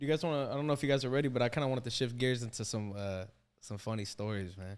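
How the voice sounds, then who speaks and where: This man speaks very fast at a medium pitch with ordinary pitch variation. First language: Assyrian. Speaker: podcast host. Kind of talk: casual chat. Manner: animated.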